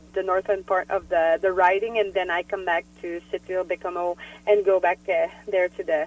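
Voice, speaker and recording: At a moderate pace, a woman speaks with a French-Canadian accent. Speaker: politician. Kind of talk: interview. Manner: halting.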